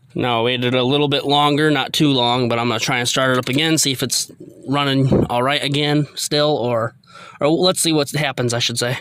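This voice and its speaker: Speaking at a fairly quick pace, a man with a medium pitch keeps his loudness very even and his intonation fairly even over noticeable background noise. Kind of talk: casual talk to camera. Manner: halting, stuttering.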